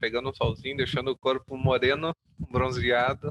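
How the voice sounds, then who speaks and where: This man talks with a southern Brazilian accent at a fairly quick pace. His pitch is medium and his intonation fairly even. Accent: gaúcho Brazilian Portuguese. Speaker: podcast co-host. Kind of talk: casual chat.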